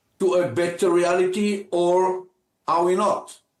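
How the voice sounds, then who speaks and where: At a very slow pace, a man speaks in a high pitch with ordinary pitch variation. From Israel. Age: 80s+. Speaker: former military officer and politician. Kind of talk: news interview. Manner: halting.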